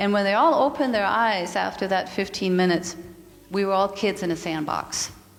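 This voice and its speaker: A woman with a slight Danish accent talks at a fairly quick pace, her loudness very even throughout. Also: medium pitch for a woman, ordinary pitch variation. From Denmark. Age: 50s. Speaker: yoga and mindfulness teacher, speaker. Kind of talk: spiritual talk.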